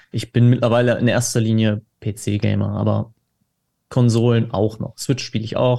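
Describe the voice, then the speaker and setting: On a very clean recording with a silent background, a man speaks at a medium pitch and a moderate pace, his tone dark and mellow and his intonation monotone and flat. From Dortmund, Ruhr area, Germany. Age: 20s. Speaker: cookbook author, gamer. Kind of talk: casual chat.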